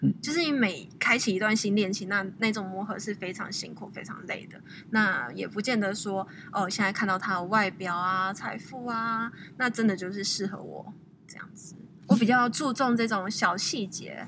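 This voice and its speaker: Heard with audible room echo, a woman speaks at a medium pitch and a moderate pace, her pitch varying in an ordinary way and her loudness swinging widely. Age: 20s. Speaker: guest. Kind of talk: casual interview.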